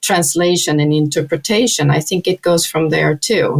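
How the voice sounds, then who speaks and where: This woman has a very deep, low voice. She talks at a moderate pace with ordinary pitch variation. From Sweden. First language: Swedish. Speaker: sustainability consultant. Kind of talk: casual chat.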